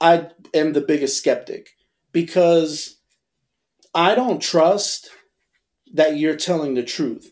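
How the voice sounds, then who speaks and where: This man talks at a fairly slow pace in a high pitch. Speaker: podcast co-host. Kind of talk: casual chat.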